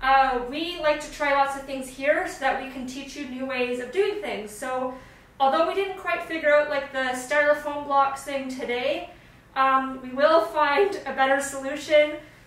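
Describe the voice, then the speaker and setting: In a room with audible echo, a woman speaks in a high voice with fairly even intonation and big swings in loudness. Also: moderate pace. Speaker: stop motion app content creator. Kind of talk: tutorial; casual chat. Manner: casual with fillers.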